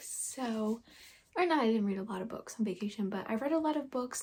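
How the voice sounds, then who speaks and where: Quiet and somewhat breathy, the voice has a dark, mellow tone and moves at a fairly quick pace. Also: woman. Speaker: booktuber. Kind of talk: casual vlog.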